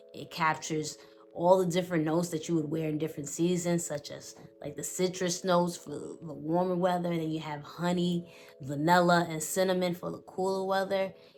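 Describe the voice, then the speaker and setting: A woman with a New York accent, fairly low pitch, fairly quick pace and big swings in loudness. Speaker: fragrance reviewer. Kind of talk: product review. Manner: animated.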